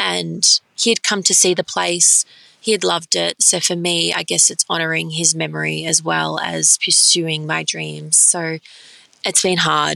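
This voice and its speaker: In an Australian accent, a woman talks at a fairly slow pace. The sound is dry and close, with no echo. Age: 20s. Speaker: pastry chef and dessert bar owner. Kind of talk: interview.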